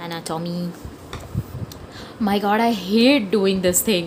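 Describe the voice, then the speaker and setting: With a strong Indian accent, a woman speaks at a fairly slow pace over noticeable background noise. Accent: heavy Indian. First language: Hindi. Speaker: comic artist. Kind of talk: casual sketchbook tour talk. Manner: chatty, rambling.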